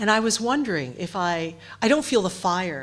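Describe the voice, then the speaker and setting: Here a woman speaks with an American accent. Her pace is moderate. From United States. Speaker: writer and editor. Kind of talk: panel discussion. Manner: halting, many repeated words.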